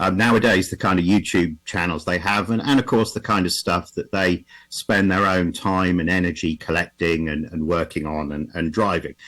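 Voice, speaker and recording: A man with an English accent, very deep and low in pitch, with ordinary pitch variation, on a very clean recording with a silent background. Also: moderate pace, hardly any pauses. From England. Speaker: automotive historian presenter. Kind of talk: conference presentation. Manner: halting, with repetitions and fillers.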